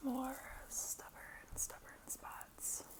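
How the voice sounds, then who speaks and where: Whispered speech from a woman, with noticeable background noise. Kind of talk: ASMR roleplay personal attention session. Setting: close-mic studio. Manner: soft-spoken, whispery, relaxing.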